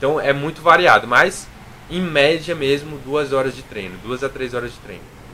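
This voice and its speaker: With noticeable background noise behind him, a man of fairly high pitch speaks at a moderate pace, showing ordinary pitch variation and big swings in loudness. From Brazil, interior of Minas Gerais. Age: 20s. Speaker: fitness youtuber and physical education student. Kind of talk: casual interview chat.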